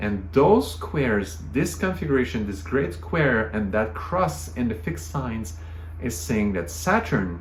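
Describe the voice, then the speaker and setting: A man speaks with a French Canadian accent at a very deep, low pitch. His pace is fairly slow and his intonation lively. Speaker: astrologer. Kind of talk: astrology talk to camera.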